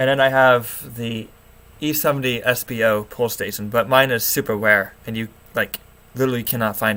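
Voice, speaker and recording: Fairly quick in pace, a man speaks with fairly even intonation. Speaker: alarm hobbyist YouTuber. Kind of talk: livestream rant. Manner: halting. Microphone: low quality setup.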